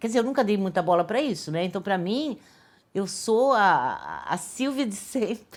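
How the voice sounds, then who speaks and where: A woman speaks at a fairly high pitch, her voice swinging very widely in pitch. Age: 60s. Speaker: artist and actress. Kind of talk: documentary interview. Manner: casual, with many hesitations and repeated words.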